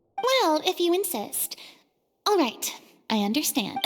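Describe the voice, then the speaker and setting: A woman puts on a squeaky character voice at an extremely high pitch. She talks at a fairly slow pace with very wide pitch swings. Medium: video game. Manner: dramatic, commanding.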